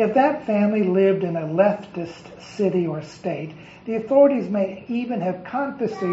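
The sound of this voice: With lively intonation, an unforced reading voice carries the text.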